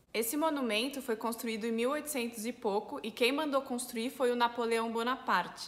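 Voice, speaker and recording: A woman speaks in a high voice at a moderate pace, with hardly any pauses. Her intonation stays fairly even. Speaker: French teacher. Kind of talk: language lesson to camera. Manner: casual, friendly.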